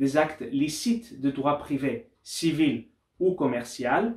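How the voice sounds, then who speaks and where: A man speaks at a very slow pace with a fairly high pitch and lively intonation. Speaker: doctoral researcher and lawyer. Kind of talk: academic conference talk. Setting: university study day. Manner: formal; occasionally halting.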